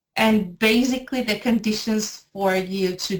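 A somewhat breathy woman's voice in a Spanish accent. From Venezuela, Maracay. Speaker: editor and language teacher. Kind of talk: interview.

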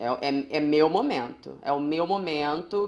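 A woman talks in a normal speaking voice, her pitch fairly low and its variation ordinary. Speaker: podcast co-host. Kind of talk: casual chat. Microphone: echo in recording.

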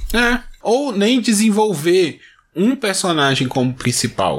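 The speech moves at a fairly slow pace with very wide pitch swings. The recording is very clean, the background silent. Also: man. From Brazil. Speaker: podcast host. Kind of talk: casual chat.

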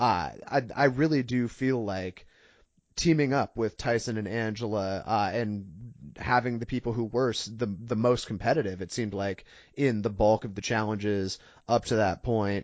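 The clip features a man with an unremarkable speaking voice. He talks at a moderate pace and a medium pitch, with ordinary pitch variation. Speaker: podcast co-host. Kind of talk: casual chat.

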